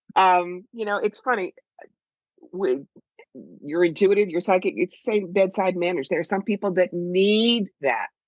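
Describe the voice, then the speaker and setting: Vocal fry comes through in a voice with an American accent, recorded in a dry, close sound with no echo. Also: woman. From southern New Jersey and Philadelphia, US. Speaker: psychic medium and author. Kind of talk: casual chat. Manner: animated.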